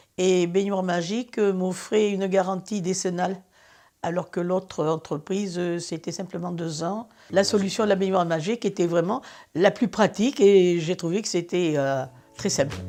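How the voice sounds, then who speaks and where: Over a quiet background, a woman with a dark, mellow tone and medium pitch speaks at a moderate pace with fairly even intonation. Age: 80s+. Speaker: customer. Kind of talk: testimony. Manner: hesitant, with frequent fillers.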